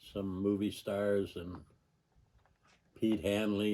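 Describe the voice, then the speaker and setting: In an American accent, a man speaks very slowly with a fairly low pitch and a dark, mellow tone. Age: 80s+. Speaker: storyteller recounting his life. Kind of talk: personal reminiscence monologue. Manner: halting, with many fillers.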